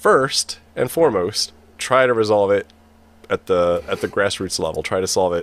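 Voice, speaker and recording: Lively intonation at a moderate pace, with an American accent. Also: man. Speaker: podcast host. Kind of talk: casual roundtable discussion. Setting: video call livestream.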